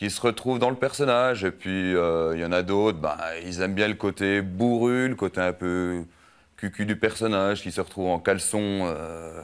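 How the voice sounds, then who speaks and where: The man's pitch is very deep and low, and it varies in an ordinary way. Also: moderate pace. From France, Haut-Doubs (Franche-Comté). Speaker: amateur comedian, carpenter. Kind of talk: TV interview. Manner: hesitant, many fillers.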